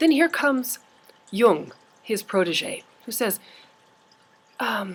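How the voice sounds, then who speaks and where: A woman speaks at a fairly high pitch, somewhat breathy, with very wide pitch swings. Her pace is very slow, with long, frequent pauses. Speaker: university lecturer. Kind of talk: lecture. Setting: campus office, on video. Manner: animated.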